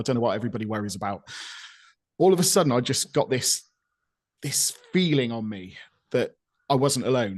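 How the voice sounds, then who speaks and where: A man speaks with a West Country accent. His pitch is medium and his pace fairly quick. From Gloucestershire, England. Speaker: podcast co-host. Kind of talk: casual chat.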